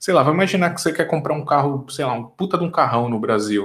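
A man with a São Paulo accent speaks at a fairly quick pace in a fairly high, somewhat breathy voice. His intonation is lively and his tone animated. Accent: Brazilian Portuguese (paulistano). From Brazil, São Paulo. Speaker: software engineer. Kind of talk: casual interview chat. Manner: animated, slangy.

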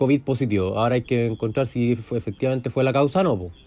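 A man speaks at a fairly quick pace. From Chile, Curicó. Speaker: surgeon in training. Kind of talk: casual chat. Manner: halting.

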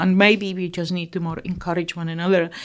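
A woman's medium-pitched voice comes through in a very clean recording with a silent background. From Czechoslovakia. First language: Czech. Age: 60s. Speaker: eating disorder therapist. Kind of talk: interview.

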